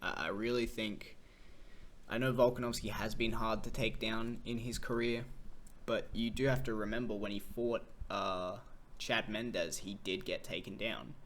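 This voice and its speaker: In an Australian accent, a man speaks at a moderate pace with audible room echo. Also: medium pitch for a man, fairly even intonation. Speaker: MMA commentator. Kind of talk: casual fight analysis monologue. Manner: casual, with fillers and restarts.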